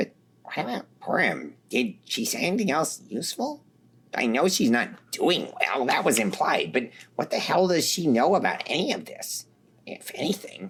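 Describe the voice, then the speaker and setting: A put-on character voice at a middle pitch. It moves at a moderate pace. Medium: read story. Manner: blunt, profane.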